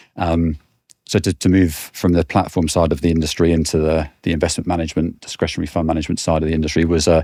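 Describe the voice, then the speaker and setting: A man talks very fast at a very deep, low pitch, in a dark, mellow tone with monotone, flat intonation and very even loudness. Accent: British. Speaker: financial services sales director. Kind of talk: podcast interview. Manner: halting, frequent repetitions.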